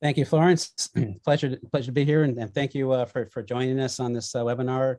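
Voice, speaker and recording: Recorded dry and close with no echo, a man with an American accent speaks very fast at medium pitch, his tone dark and mellow and his intonation fairly even. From California. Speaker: M&A advisor, managing director. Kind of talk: webinar presentation. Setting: video call. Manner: halting, many repetitions.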